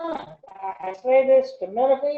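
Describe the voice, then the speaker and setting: A woman speaks in a high pitch. She has an Arkansas accent. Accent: Southern US (Arkansas). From US South. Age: 70s. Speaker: retired English professor. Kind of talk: interview conversation. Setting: video call.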